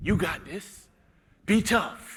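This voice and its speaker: An animated man's voice on a very clean recording with a silent background. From Alabama. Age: 30s. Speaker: motivational speaker. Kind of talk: keynote speech. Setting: stage with audience.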